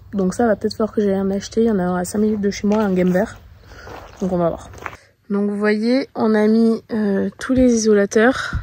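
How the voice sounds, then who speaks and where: There is noticeable background noise. A woman talks at a moderate pace with a fairly high pitch and monotone, flat intonation. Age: 30s. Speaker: horse owner and rider. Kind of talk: casual vlog talk to camera.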